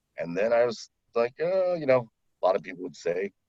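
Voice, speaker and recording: A very fast-talking man with an American accent, in a dry, close sound with no echo. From Maryland, USA, now in Florida. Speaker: voice-over artist, former radio broadcaster. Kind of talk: casual interview answer about his career.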